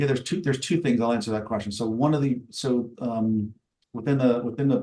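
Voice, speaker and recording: At a very fast pace, a man speaks in a dark, mellow tone with medium pitch and fairly even intonation. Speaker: cyber risk software vendor presenter. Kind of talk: webinar product demo and Q&A.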